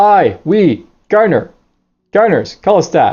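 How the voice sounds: This is a put-on character voice at a middle pitch. The pace is fairly slow.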